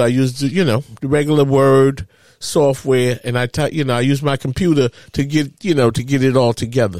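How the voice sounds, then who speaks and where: In an American accent, a man with a normal speaking voice talks at a moderate pace, his fairly high pitch showing ordinary variation, in a dry, close sound with no echo. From Harlem, New York. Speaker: podcast host and father. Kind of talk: casual chat.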